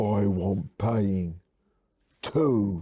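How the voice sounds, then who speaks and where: Putting on a character voice, a man speaks at a fairly low pitch. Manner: menacing, demanding payment.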